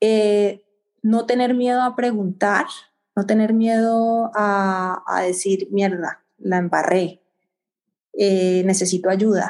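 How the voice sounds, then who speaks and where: Very slow speech at a very even loudness, with fairly even intonation. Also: woman, medium pitch for a woman. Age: middle-aged. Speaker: infectious disease physician. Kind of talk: interview. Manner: halting.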